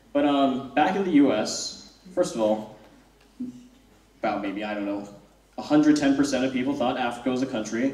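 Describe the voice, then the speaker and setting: At a fairly quick pace but with long, frequent pauses, a man with an American accent and a medium pitch speaks with ordinary pitch variation amid audible room echo. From United States. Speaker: student comedian. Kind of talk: stand-up. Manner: halting.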